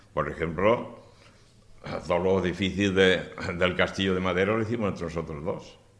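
Amid audible room echo, a man with a very deep, low pitch talks at a moderate pace with fairly even intonation and long, frequent pauses. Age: 70s. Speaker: retired cabinetmaker. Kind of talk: press conference. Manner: halting.

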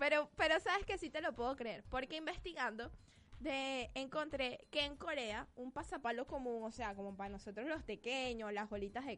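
A woman's high pitch and lively intonation at a fairly slow pace, in a Venezuelan accent. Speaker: internet radio co-host. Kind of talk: casual chat.

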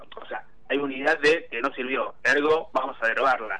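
An unremarkable speaking voice belongs to this medium-pitched man, who talks at a moderate pace with fairly even intonation. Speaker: parliamentary affairs commentator. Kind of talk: political analysis interview.

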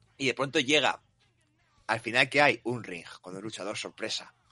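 A man speaks with music in the background. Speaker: wrestling podcast host. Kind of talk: casual chat.

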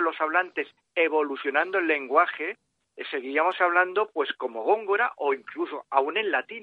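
A man speaks in a high voice. His pitch varies in an ordinary way, and his pace is moderate. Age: 50s. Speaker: author. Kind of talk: interview.

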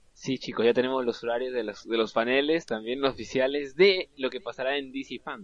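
A man's plain, everyday voice, medium in pitch, with ordinary pitch variation and hardly any pauses. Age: 20s. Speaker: film podcast co-host. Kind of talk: casual chat.

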